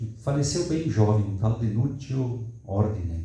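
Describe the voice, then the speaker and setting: A man's medium-pitched voice, fairly slow in pace, with lively intonation. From southern Brazil, Rio Grande do Sul. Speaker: academic seminar participant. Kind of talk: discussion comment in academic Q&A. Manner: halting, with false starts.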